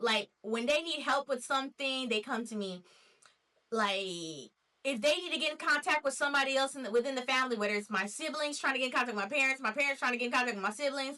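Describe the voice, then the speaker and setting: Projecting a raised voice, a woman with an American accent speaks very fast in a high pitch with ordinary pitch variation. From Nashville, Tennessee, USA. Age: 20s. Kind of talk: casual talk to camera.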